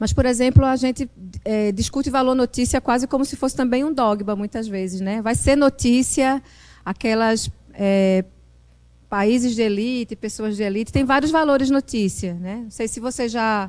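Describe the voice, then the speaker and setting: Moderate pace and ordinary pitch variation from a woman with a fairly high pitch. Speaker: journalist and professor. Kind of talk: lecture. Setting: classroom with live audience. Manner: hesitant, with many fillers and repetitions.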